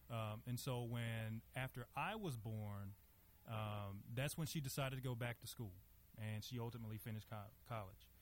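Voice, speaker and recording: A man with a Southern US accent talks at a moderate pace, his medium-pitched voice somewhat breathy and his intonation fairly even. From US South, Monroe, Louisiana. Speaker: lawyer. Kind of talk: interview. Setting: stage with audience.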